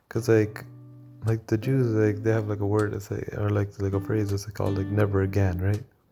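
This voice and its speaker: With music in the background, a man talks at a fairly quick pace, fairly low pitch, and fairly even intonation. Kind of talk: casual talk to camera, opinion commentary. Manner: whispered; hesitant, many filler words.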